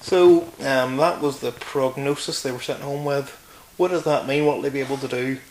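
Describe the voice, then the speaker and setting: A man with a Northern Irish accent speaks at a moderate pace in a fairly high voice with fairly even intonation, against noticeable background noise. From Northern Ireland, County Antrim. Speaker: interview guest. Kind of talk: casual interview. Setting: filmed interview.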